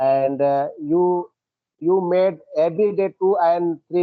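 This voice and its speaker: A man with an Indian accent talks at a fairly slow pace. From India, Uttar Pradesh. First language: Hindi. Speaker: English learner. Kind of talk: casual chat. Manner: halting.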